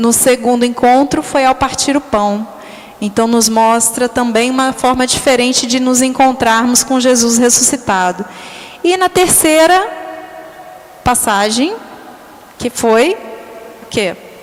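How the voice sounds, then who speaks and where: Music plays in the background as a woman with a high pitch talks at a fairly slow pace, her loudness very even. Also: ordinary pitch variation. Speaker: catechist. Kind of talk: bible study talk. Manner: halting.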